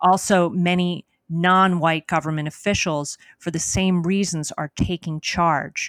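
Fairly low and flat, a woman's voice moves at a fairly slow pace in a very clean recording with a silent background and a dry, close sound with no echo. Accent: American. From New Jersey. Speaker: history professor. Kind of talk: interview.

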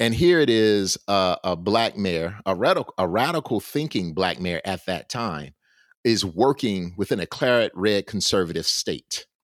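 Lively intonation and a Southern US accent come through in a very clean recording with a silent background and a dry, close sound with no echo. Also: man, fairly low pitch for a man, moderate pace. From US South, Alabama. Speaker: historian and professor. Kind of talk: interview.

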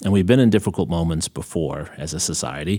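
With a plain, everyday voice and an American accent, a man speaks at a fairly quick pace with lively intonation. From New York. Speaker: podcast host, history professor. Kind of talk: interview discussion.

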